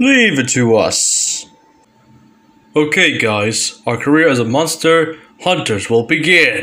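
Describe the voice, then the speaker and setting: A man's cartoonish character voice, fairly high in pitch, delivered at a fairly slow pace with long, frequent pauses. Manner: confident, then hasty.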